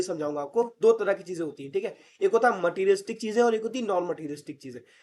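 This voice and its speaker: Quick and animated, a man speaks at a high pitch with ordinary pitch variation. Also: big swings in loudness. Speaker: online tutor. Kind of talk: lecture.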